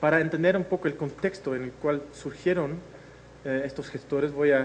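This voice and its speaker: There is audible room echo around the voice. The pace is moderate. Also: man. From Netherlands. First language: Dutch (speaking Spanish). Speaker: agricultural innovation researcher. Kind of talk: lecture. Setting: video conference. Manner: hesitant, frequent fillers.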